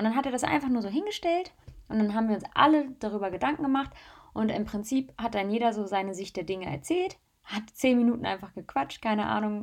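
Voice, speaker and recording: A woman talks in a fairly high voice with lively intonation. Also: very clean recording, silent background. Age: 20s. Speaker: influencer and podcaster. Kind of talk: solo podcast monologue. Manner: casual, chatty.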